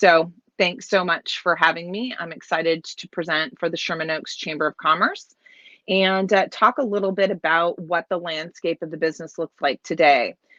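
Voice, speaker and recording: A woman speaks loudly at a moderate pace, her fairly low pitch showing ordinary variation, with a bright, sharp tone and a dry, close sound with no echo. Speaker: keynote speaker, business executive. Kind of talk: keynote talk. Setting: video call from home office in trailer. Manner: hesitant, many fillers.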